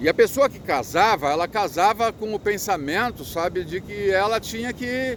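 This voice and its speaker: A man with a high voice, lively intonation and a fairly slow delivery, plus noticeable background noise. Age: 60s. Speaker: motivational speaker. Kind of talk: casual talk to camera. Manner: halting, repetitive.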